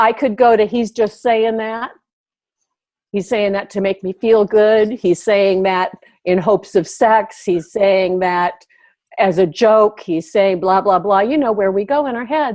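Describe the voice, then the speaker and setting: A woman speaks at a fairly slow pace with a plain, everyday voice. Her pitch is medium, with ordinary pitch variation. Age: 60s. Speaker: life coach. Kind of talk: interview conversation.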